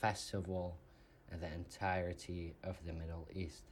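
This man's voice is somewhat breathy and very deep, with a low pitch. He speaks at a fairly slow pace. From Saudi Arabia, Riyadh. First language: Arabic. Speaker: podcast guest. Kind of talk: interview.

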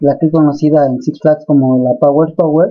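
A man speaks with a Mexican accent. He goes at a fairly slow pace. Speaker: paranormal investigator and storyteller. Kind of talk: ghost story telling, first-person spooky personal account.

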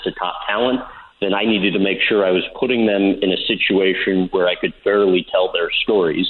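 A man speaks at a moderate pace with fairly even intonation and a fairly low pitch, in an ordinary speaking voice. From St. Louis, US Midwest. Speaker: sports interviewer. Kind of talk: casual interview.

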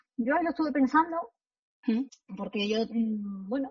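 A woman with a fairly high pitch speaks in an unremarkable speaking voice. She moves at a fairly quick pace with ordinary pitch variation. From Spain, Extremadura. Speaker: law professor. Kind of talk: interview.

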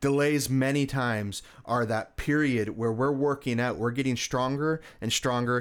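Over a silent background in a very clean recording, a man with an ordinary speaking voice talks at medium pitch and a moderate pace, with ordinary pitch variation. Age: 30s. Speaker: cancer survivor and speaker. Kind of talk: interview.

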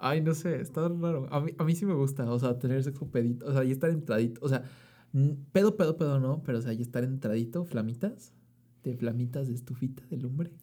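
Over a very clean recording with a silent background, a man speaks in a medium pitch with a dark, mellow tone and a somewhat breathy quality. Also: ordinary pitch variation, fairly quick pace. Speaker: podcast co-host. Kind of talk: casual chat. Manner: excitable.

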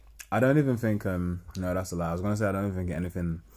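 A man's very deep, low voice, dark and mellow in tone, at a very fast pace with ordinary pitch variation. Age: 20s. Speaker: podcast host. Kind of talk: casual chat.

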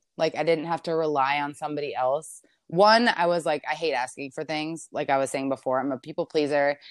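At a fairly quick pace, a woman with an American accent speaks at a very deep, low pitch against a quiet background. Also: hardly any pauses. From Maryland, US. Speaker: hair colorist. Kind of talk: interview. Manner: casual, filler-heavy.

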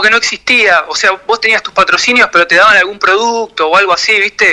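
A man with a high pitch speaks in a raised, projected voice over noticeable background noise. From Argentina, Quilmes (Buenos Aires). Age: 40s. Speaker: professional skateboarder. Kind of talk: radio interview. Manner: halting.

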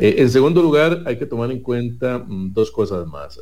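A normal speaking voice with lively intonation. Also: man. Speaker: legislative candidate, consumer rights advocate. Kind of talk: political debate.

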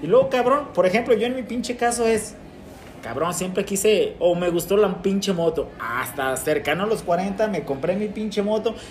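Against noticeable background noise, a man speaks in a high pitch with lively intonation. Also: moderate pace. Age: 40s. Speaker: podcast host. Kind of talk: casual chat.

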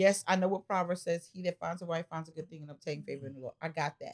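A woman with a fairly low pitch speaks at a fairly quick pace in an animated tone, with ordinary pitch variation. The sound is dry and close, with no echo. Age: 50s. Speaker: pastor and podcast host. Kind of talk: casual chat.

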